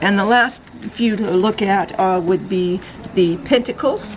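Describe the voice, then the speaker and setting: The pace is very slow. Noticeable background noise is present throughout. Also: woman. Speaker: tarot reader. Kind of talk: product review talk. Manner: halting, stuttering; enthusiastic.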